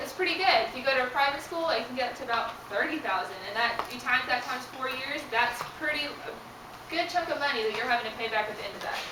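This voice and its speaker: A woman's raised, projected voice, high in pitch with ordinary pitch variation, races at a very fast pace through audible room echo and noticeable background noise. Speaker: graduate assistant presenter. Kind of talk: student seminar presentation. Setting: room with live audience.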